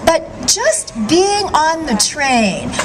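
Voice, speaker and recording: Noticeable background noise accompanies a woman whose pitch swings very widely. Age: 60s. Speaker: vegan author and speaker. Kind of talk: rally speech.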